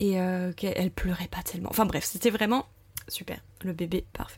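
Female speech, somewhat breathy, with ordinary variation in pitch. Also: very clean recording, silent background. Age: 30s. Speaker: primary school teacher sharing motherhood testimony. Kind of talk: testimony. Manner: hesitant, many fillers.

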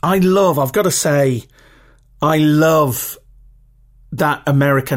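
A British accent on a very clean recording with a silent background. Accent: regional British English, rough. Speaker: podcast host. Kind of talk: solo podcast monologue with practical tips. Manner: casual, chatty, filler words.

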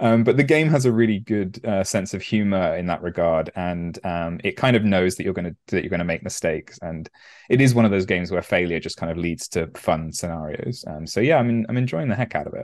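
With hardly any pauses, a man talks at a fairly quick pace in a normal speaking voice, fairly low in pitch, with lively intonation. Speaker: podcast co-host. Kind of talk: casual chat.

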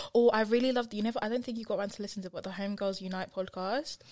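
Speaking in a British accent, a woman goes at a very fast pace. Her pitch is medium. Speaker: podcast co-host. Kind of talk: casual chat.

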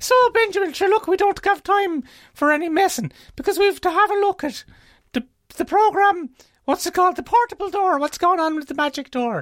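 A woman's put-on character voice in an Irish accent, squeaky and extremely high-pitched, at a fairly quick pace. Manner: exaggerated comic.

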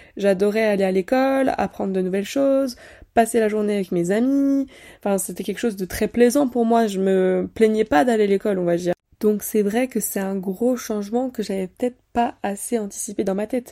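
On a very clean recording with a silent background, a woman with a dark, mellow tone and fairly high pitch talks at a moderate pace with ordinary pitch variation. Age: 20s. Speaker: podcast host, student. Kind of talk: casual solo monologue. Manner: conversational, with occasional laughs.

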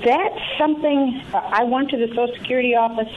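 A woman's voice over noticeable background noise. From Tennessee. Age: 60s. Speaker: caller. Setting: phone call.

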